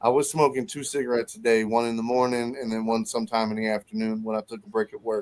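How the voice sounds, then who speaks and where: At a fairly quick pace, a man with a plain, everyday voice speaks at a medium pitch. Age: 30s. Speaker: podcast guest, warehouse worker. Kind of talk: casual chat.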